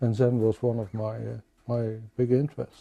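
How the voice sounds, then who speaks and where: A man's dark, mellow voice with a Dutch accent. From Netherlands, Rotterdam. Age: 70s. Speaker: crime novelist. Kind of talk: interview conversation. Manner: halting, with frequent repetitions and fillers.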